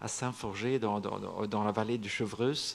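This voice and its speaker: The speaker uses fairly even intonation in a Swedish accent. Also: man. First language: Swedish (speaking French). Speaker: singer-songwriter. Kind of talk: panel discussion at literary festival. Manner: halting, many repetitions and fillers.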